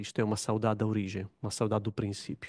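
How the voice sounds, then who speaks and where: Over a quiet background, a man talks at a fairly quick pace. The sound is dry and close with no echo. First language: Italian (speaking Portuguese). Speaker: religious studies academic, panel commentator. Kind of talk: panel talk. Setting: conference room with audience.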